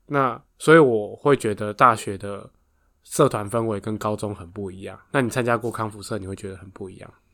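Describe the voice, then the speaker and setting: The speech moves at a fairly quick pace with ordinary pitch variation and big swings in loudness. It is a very clean recording with a silent background. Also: man, fairly low pitch for a man. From Taiwan, Taoyuan. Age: 30s. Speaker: podcast co-host, runs family factory. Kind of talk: casual chat.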